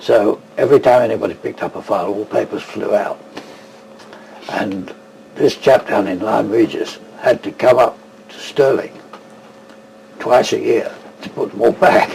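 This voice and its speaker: Amid noticeable background noise, a man leaves long, frequent pauses between his words. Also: moderate pace. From England, London. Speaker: tartan expert and weaver. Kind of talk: interview.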